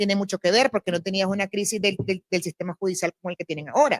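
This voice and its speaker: A woman's medium-pitched voice with ordinary pitch variation, dry and close with no echo. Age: 50s. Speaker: festival director. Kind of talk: panel discussion. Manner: fast.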